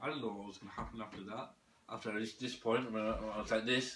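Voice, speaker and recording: A man's very fast speech with fairly even intonation amid noticeable background noise. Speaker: religious video maker, self-described imam. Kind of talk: personal monologue to camera. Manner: halting, repetitive.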